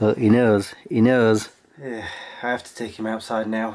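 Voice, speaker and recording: Man's medium-pitched voice, monotone and flat, at a fairly slow pace, with big swings in loudness and noticeable background noise. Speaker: vlogger. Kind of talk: casual vlog talk. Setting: outdoors walking dog.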